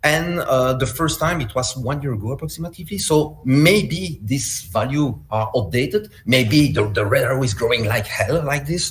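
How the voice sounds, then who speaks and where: Over noticeable background noise, a man with a Belgian accent talks at a moderate pace with hardly any pauses, his fairly high voice carrying lively intonation. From Belgium. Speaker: malware analyst and security instructor. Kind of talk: conference talk. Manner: halting.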